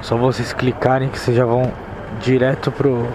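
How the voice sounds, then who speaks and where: With noticeable background noise behind him, a man talks fairly slowly. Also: dry sound with no echo. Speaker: motovlogger. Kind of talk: casual vlog chat. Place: motorbike.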